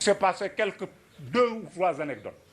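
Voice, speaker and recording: A man talks at a fairly quick pace. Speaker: professor, former student activist. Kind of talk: commemorative lecture. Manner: hesitant, with fillers and repetitions.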